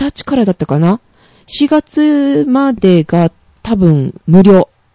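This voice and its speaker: A woman at medium pitch has a dark, mellow tone and very wide pitch swings, heard in a dry, close sound with no echo. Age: 30s. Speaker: podcast co-host. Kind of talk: casual chat.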